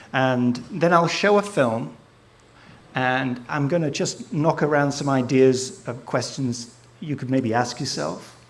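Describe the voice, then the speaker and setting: A man speaks with an English accent at a medium pitch with ordinary variation. Room echo is audible. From England, Southport (Merseyside). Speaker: photographer and filmmaker. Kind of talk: live presentation to an audience. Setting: stage with audience. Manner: casual, hesitant with fillers.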